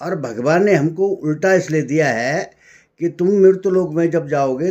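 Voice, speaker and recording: Ordinary pitch variation runs through this man's speech. His tone is dark and mellow. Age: 60s. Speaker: spiritual speaker. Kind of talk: spiritual talk.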